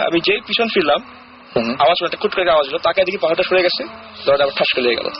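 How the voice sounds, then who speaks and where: Noticeable background noise sits under a man's high-pitched voice, which shows ordinary pitch variation. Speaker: caller sharing a ghost experience on a radio show. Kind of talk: casual storytelling in a radio interview. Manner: conversational, mixes English words into Bengali.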